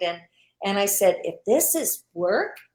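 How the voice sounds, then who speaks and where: With a Canadian accent, a woman talks at a moderate pace in a plain, everyday voice, her pitch medium for a woman. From Canada. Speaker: online business owner. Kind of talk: interview.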